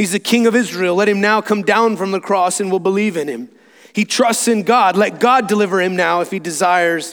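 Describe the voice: Someone is doing a plain reading aloud.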